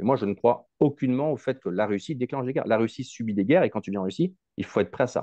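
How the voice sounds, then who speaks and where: A man talks at a very fast pace with lively intonation. The sound is dry with no echo, against a quiet background. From Africa. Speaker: YouTuber on Russia. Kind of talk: casual interview. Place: home room. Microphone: earbuds.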